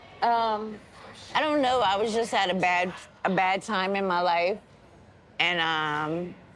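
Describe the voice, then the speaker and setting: In a room with audible echo, the speaker goes at a fairly slow pace with long, frequent pauses, ordinary pitch variation and very even loudness. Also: woman, medium pitch for a woman. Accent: American. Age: 40s. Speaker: jail inmate. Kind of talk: documentary interview. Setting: in jail.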